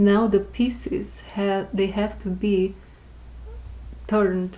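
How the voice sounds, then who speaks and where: Here is a woman speaking. She has a non-native accent. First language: not English. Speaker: tarot reader. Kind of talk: tarot reading. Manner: casual.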